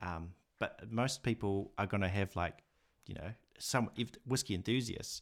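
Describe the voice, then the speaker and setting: At a fairly low pitch, a man talks in a normal speaking voice on a very clean recording with a silent background. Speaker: whisky YouTuber and educator. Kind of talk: casual interview chat.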